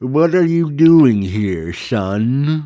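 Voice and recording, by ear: A man does a wheezy put-on character voice at a medium pitch.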